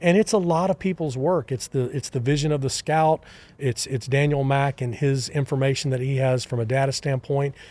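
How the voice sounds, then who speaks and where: With a Texan accent, a dark, mellow tone, ordinary pitch variation and a fairly quick pace. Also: man, fairly high pitch for a man. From Texas. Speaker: baseball scouting executive. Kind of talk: interview.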